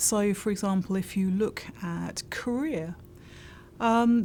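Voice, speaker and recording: Speaking in a British accent, a woman sounds somewhat breathy, with ordinary pitch variation. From UK. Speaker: insurance industry consultant. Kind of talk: interview.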